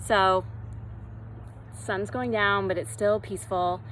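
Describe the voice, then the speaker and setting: Room echo is clearly audible. Within it, a woman speaks at a moderate speed. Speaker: yoga instructor. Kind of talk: fitness class instruction. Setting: outdoors. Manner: loud; calm, soothing.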